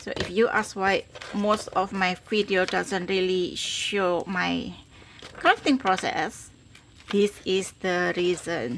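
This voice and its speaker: Her pitch medium and her pitch variation ordinary, a woman with a non-native accent speaks at a very slow pace amid noticeable background noise. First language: not English. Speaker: crafter, tutorial host. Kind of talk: crafting tutorial. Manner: halting, fumbling.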